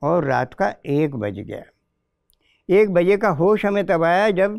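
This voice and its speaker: A man with a high voice speaks very slowly, his intonation lively. The sound is dry with no echo against a quiet background. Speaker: poet. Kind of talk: interview. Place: studio. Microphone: lapel.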